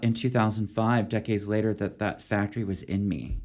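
A man with a plain, everyday voice and a fairly low pitch speaks at a moderate pace with fairly even intonation. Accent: American. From US, Philadelphia, Pennsylvania. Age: 50s. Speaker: poet. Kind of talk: interview conversation.

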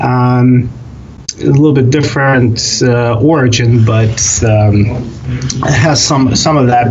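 A man with a Russian accent talks very slowly at a medium pitch, with ordinary pitch variation. Audible room echo and noticeable background noise fill the recording. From Russia (Soviet Union). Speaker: kvass brewer. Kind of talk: interview. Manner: halting, many fillers.

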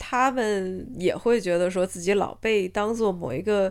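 A woman speaks at a medium pitch with lively intonation. The recording is very clean, with a silent background. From China. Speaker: podcast co-host. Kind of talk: casual chat. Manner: halting, many fillers and restarts.

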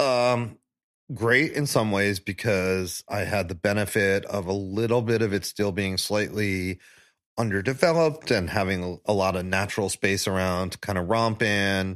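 Here a man has an unremarkable speaking voice, fairly low in pitch with ordinary pitch variation, talking at a moderate pace on a very clean recording with a silent background. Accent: American. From New York, Staten Island. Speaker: barbecue pitmaster. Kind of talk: casual chat. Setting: in person at host's place.

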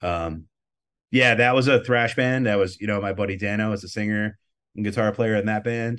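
Against a quiet background, a man with a fairly low pitch talks at a moderate pace with fairly even intonation. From Rochester, New York. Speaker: record label owner and metal musician. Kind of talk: interview.

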